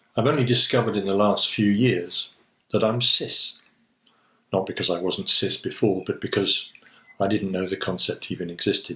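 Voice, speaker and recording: A man with an English accent speaks at a moderate pace, his fairly low voice showing ordinary pitch variation. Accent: received pronunciation. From England. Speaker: vlogger. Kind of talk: personal essay monologue. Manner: reflective.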